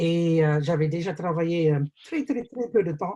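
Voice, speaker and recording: A man's dark, mellow, fairly high voice at a very slow pace. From New Zealand. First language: English (speaking French). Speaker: business opportunity presenter. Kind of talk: webinar sales pitch. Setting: video call webinar. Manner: hesitant, many fillers.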